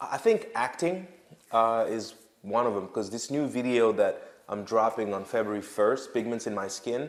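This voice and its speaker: A man speaks with a French accent at a medium pitch and a moderate pace. His intonation is lively. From Senegal, West Africa. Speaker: rapper. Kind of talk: casual interview.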